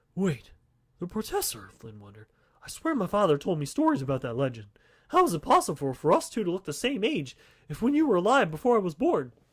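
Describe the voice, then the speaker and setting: In a put-on character voice, a man speaks at a very fast pace with a high pitch and big swings in loudness. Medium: read story.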